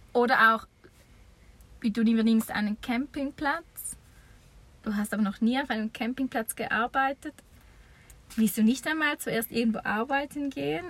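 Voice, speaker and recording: Pitched high, a woman's voice shows ordinary variation in pitch. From eastern Switzerland. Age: 30s. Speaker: campsite owner. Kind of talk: interview. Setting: campsite, improvised recording booth.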